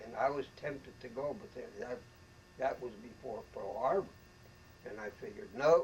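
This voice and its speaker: A man with an American accent talks at a moderate pace. His voice is somewhat breathy, with big swings in loudness. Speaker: war veteran. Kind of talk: interview answer.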